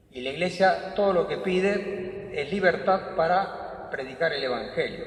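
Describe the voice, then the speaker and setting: Over noticeable background noise and audible room echo, a man talks with a high pitch. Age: 80s+. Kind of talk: talk to a parish audience. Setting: parish hall with audience.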